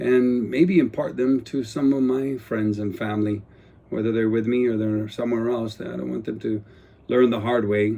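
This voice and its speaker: With a Guam accent, a man speaks at medium pitch in a dark, mellow tone. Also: ordinary pitch variation, moderate pace. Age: 60s. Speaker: retired police officer and politician turned vlogger. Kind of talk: casual personal vlog monologue. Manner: unscripted, hesitant with fillers.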